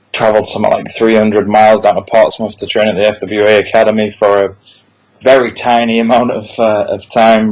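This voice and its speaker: A man with a Yorkshire accent speaks in a fairly low pitch, his intonation flat and monotone. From Yorkshire, northern England. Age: 30s. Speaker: wrestling promoter. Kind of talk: podcast interview.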